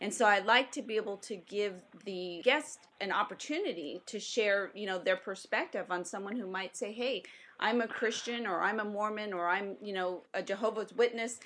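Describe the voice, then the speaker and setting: Using an ordinary speaking voice, a woman talks in a medium pitch at a moderate speed, her pitch varying in an ordinary way. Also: quiet background. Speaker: radio show host. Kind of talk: interview. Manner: formal.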